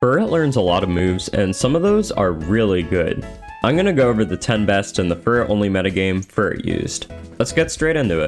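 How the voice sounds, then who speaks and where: A man speaks at a fairly quick pace with fairly low pitch, very even loudness and lively intonation, with music in the background. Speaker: gaming video creator. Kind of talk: video essay voice-over. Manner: sometimes stutters or slurs words together.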